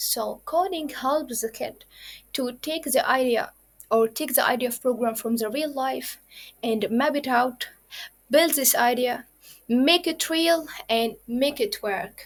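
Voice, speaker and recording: At a fairly slow pace, a woman speaks in a high pitch with ordinary pitch variation. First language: Arabic. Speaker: programming instructor. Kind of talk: lecture. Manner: halting.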